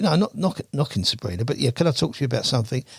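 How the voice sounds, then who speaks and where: A man rattles along at a very fast pace with a medium pitch. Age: 70s. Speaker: carp angler. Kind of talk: podcast interview. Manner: halting.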